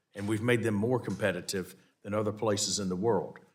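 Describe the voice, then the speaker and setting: A man is speaking. He has a Southern US accent. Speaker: committee chair, congressman. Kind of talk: congressional hearing questioning. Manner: halting, many restarts.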